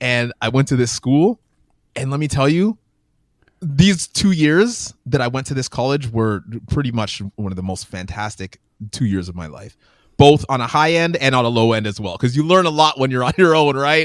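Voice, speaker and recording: In a very clean recording with a silent background, a man with a Canadian accent uses an ordinary speaking voice at a medium pitch, a moderate pace and lively intonation. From Canada, Windsor Ontario. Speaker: children's book author and education founder. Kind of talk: interview conversation.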